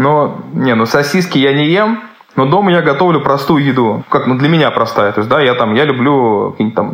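Lively intonation from a man at a moderate pace, against noticeable background noise. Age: 30s. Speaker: chef. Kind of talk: interview.

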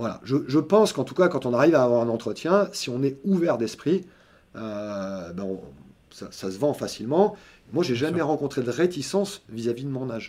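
A man talks at a moderate pace and medium pitch in a dark, mellow tone. His pitch swings very widely and his loudness varies greatly. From southern France, Montpellier. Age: 50s. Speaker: senior software developer. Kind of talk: interview.

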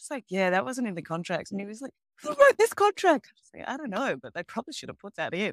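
Big swings in loudness and very wide pitch swings mark a woman's fast-moving, fairly high voice in an Australian accent, at a very fast pace, with a dry, close sound and no echo. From Melbourne, Australia. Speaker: ESG and sustainable finance expert. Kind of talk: casual interview. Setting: video call from home in Mexico.

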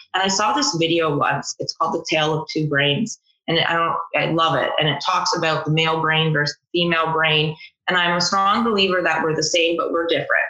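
A woman with a Canadian accent talks at a fairly quick pace in a plain, everyday voice. Her pitch is fairly low, her intonation fairly even, and her loudness very even. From Ontario, Canada. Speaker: electrical apprentice. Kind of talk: casual interview.

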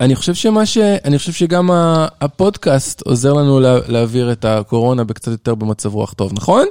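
In a very clean recording with a silent background and a dry, close sound with no echo, a man speaks at a medium pitch and a moderate pace, his dark, mellow tone swinging very widely in pitch. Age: 40s. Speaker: father of the child hosts. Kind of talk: casual chat.

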